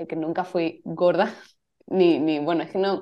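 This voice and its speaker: With a dark, mellow tone, a woman speaks in a fairly low voice with fairly even intonation. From Spain, Cádiz (Andalusia). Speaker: photographer and yoga teacher. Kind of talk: casual interview chat.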